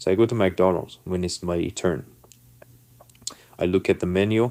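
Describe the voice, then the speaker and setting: Someone with a non-native accent talks at a moderate pace with fairly even intonation. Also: man. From non-English-speaking country, emigrated to US as a youth. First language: not English. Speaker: vlogger telling personal stories. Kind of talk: casual storytelling monologue.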